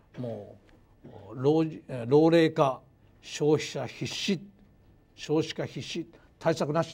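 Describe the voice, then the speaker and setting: Speaking at a very slow pace with long, frequent pauses, a man with a fairly high pitch sounds somewhat breathy and shows ordinary pitch variation. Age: 60s. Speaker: university professor of economics. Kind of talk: lecture. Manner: formal. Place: hall. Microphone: lapel.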